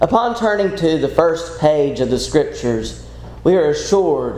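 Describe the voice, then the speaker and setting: Over a noticeable hum of background noise, a man talks fairly slowly. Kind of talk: sermon. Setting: church.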